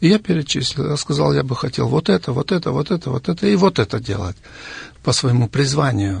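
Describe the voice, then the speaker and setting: Talking at a fairly quick pace with very wide pitch swings, a man comes through with a dry, close sound and no echo. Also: medium pitch for a man. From Siberia, Russia. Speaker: missionary and author. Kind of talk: studio interview. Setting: radio studio.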